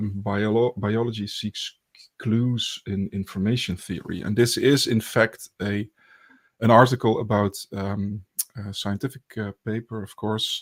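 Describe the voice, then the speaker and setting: Recorded very cleanly against a silent background, with dry, close sound and no echo, a man speaks at a fairly slow pace in a fairly low pitch and a monotone, flat intonation. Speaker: podcast host, academic researcher. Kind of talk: casual academic discussion. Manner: hesitant, many fillers.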